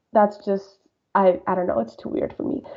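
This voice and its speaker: A woman speaks with a Spanish accent. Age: 20s. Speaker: podcast guest. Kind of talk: interview. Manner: casual, filler-heavy.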